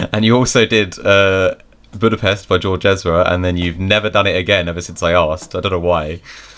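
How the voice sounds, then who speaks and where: Against a quiet background, a man with a British accent talks at a fairly quick pace in a very deep, low pitch with fairly even intonation. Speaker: podcast host and streamer. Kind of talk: casual chat.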